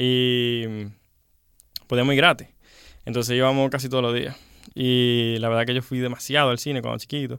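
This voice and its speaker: The man's pitch is medium and his intonation monotone and flat. He moves at a fairly quick pace but leaves long, frequent pauses. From Dominican Republic, Santiago (Gurabo). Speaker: film producer and director. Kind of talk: radio interview.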